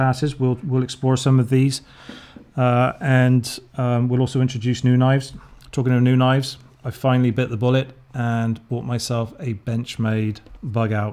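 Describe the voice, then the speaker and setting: With an English accent, a man speaks at medium pitch in a monotone, flat intonation. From England. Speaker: knife reviewer, YouTuber. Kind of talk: casual product review. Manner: casual, hesitant with fillers.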